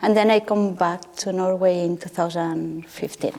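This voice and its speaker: The intonation stays fairly even over noticeable background noise. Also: woman. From Spain, Catalonia (Terrassa). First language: Catalan or Spanish. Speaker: artist. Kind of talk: panel discussion.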